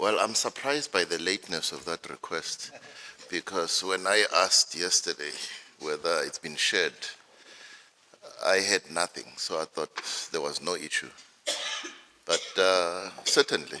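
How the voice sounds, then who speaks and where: A man speaks at a fairly slow pace with long, frequent pauses, in a dry, close sound with no echo and noticeable background noise. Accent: non-native. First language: not English. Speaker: judge presiding over hearing. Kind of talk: courtroom exchange. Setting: courtroom hearing.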